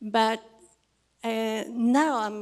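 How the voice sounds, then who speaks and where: Monotone, flat intonation from a woman at a medium pitch. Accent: Spanish. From Chile. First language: Spanish. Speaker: audience member, researcher. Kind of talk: audience question. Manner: halting.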